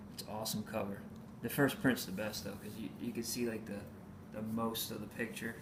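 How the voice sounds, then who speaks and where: A man speaks at a moderate pace with a medium pitch and fairly even intonation, and the room echo is audible. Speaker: comic book collector vlogger. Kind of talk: casual haul video. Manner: hesitant, many fillers.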